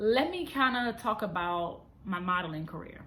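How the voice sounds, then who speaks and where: Somewhat breathy speech at a fairly slow pace, with lively intonation and audible room echo. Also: woman. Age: 30s. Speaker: vlogger and model. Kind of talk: casual vlog monologue. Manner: unscripted, conversational.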